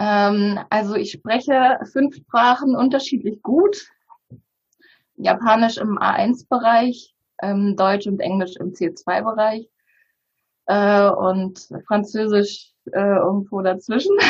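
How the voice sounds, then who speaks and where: This woman talks very slowly, her pitch fairly high. Her voice is somewhat breathy, with ordinary variation in pitch. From Bulgaria. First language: Bulgarian (speaking German). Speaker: publisher. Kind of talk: interview conversation.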